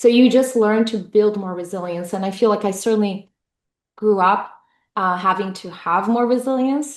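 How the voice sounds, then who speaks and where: In a Portuguese accent, a woman speaks at medium pitch with ordinary pitch variation against a quiet background. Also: moderate pace. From Brazil. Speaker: tech executive. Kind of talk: interview. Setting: fireside chat event. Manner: hesitant fillers.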